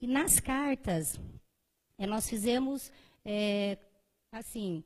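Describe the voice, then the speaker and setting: A woman speaks very slowly in a dark, mellow tone with ordinary pitch variation. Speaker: primary school teacher and researcher. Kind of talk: conference presentation. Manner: hesitant, many fillers.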